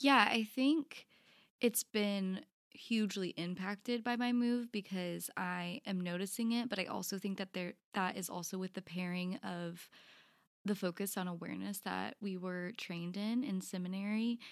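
An unremarkable speaking voice from a woman with an American accent, medium in pitch with ordinary variation, at a moderate pace, in a very clean recording with a silent background and a dry, close sound with no echo. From College Station, Texas. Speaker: spiritual director, seminary graduate. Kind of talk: interview-style podcast conversation.

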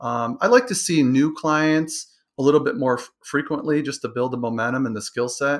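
A man with an American accent and a fairly high pitch speaks at a moderate pace with ordinary pitch variation in an ordinary speaking voice, recorded very clean over a silent background. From Michigan, Detroit area. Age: 50s. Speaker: sport psychology coach. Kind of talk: interview.

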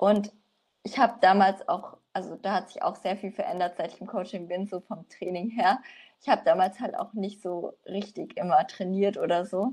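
Using an ordinary speaking voice, a woman talks at a moderate pace and medium pitch, with fairly even intonation and big swings in loudness. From Franconia, Germany (Nürnberg). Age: 20s. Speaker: coaching client, student. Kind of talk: casual interview.

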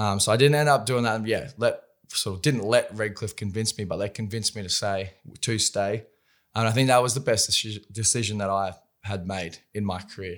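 A man with an Australian accent at a fairly low pitch, moderate pace and fairly even intonation, in a very clean recording with a silent background. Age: 20s. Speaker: professional rugby league player. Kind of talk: casual chat. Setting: studio.

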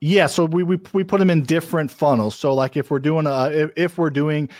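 A man talks at a fairly quick pace with ordinary pitch variation, his voice dry and close with no echo. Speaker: real estate investor. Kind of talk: interview. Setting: video call. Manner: fast talker.

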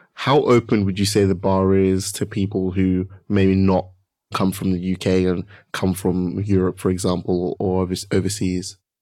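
A man speaks in a very deep, low pitch with a dark, mellow tone and a monotone, flat intonation. His pace is fairly slow, and the recording is very clean with a silent background. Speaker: podcast host. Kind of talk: interview.

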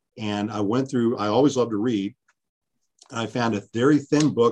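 A normal speaking voice with an American accent, fairly quick in pace, with ordinary pitch variation and a quiet background. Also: man. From US West Coast, California East Bay. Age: 50s. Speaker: history professor. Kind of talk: interview.

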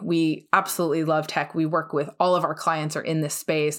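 A woman with a New Jersey accent talks at a fairly quick pace with a very deep, low pitch and fairly even intonation, on a very clean recording with a silent background. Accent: American, New Jersey. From US, New Jersey. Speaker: law firm business development head, former litigator. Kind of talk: podcast interview.

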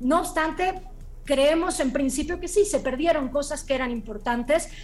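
Her pace moderate and her pitch varying in an ordinary way, a woman talks. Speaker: screenwriter and novelist. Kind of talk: interview.

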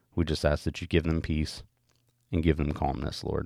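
A man speaks in a very deep, low pitch with vocal fry, at a moderate pace. The recording is very clean, with a silent background. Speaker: devotional podcaster. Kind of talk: devotional reading followed by fervent prayer. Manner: earnest, pleading, soft and halting; repetitive, stumbling over words.

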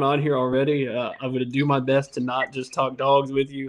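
A man talks in a normal speaking voice. He speaks with an American accent. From Indiana, US Midwest. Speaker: podcast host. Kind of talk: casual chat.

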